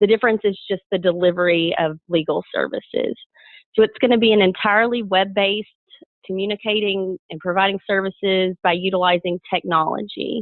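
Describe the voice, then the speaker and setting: A strong Southern US accent at a fairly quick pace, with fairly even intonation. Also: woman, medium pitch for a woman. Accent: thick Southern US. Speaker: lawyer. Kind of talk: webinar presentation. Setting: webinar.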